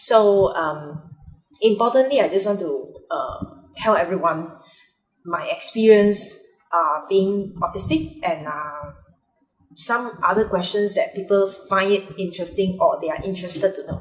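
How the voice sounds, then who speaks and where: A woman speaks at a fairly slow pace. Her pitch sits in the medium range. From Malaysia, Penang. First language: Mandarin. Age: adult. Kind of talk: personal vlog monologue. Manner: halting, many fillers.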